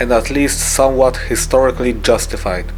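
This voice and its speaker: Music plays in the background as a man speaks. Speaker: scale model builder, channel owner. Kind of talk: tutorial voice-over narration.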